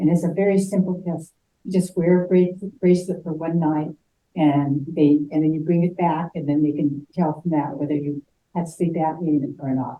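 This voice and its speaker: A woman speaks in a dark, mellow tone at a fairly low pitch. Her pace is moderate and her intonation fairly even. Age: 70s. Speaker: heart patient support group member. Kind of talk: testimony. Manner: halting.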